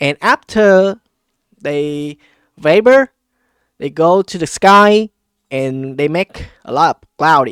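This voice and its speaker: With a non-native accent, a man with a fairly high voice and lively intonation talks at a very slow pace, the sound dry and close with no echo. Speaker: politics and economy commentator. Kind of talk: casual explainer talk to camera. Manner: hesitant, many fillers.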